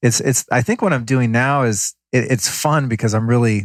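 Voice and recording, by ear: A man at a moderate pace, fairly even intonation, dry, close sound with no echo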